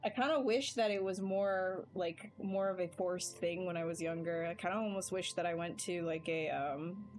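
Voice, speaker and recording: With music in the background, a woman talks at a moderate pace, her medium pitch showing ordinary variation. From Canada. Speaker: digital sculptor streaming live. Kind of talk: casual livestream chat while working. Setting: live stream.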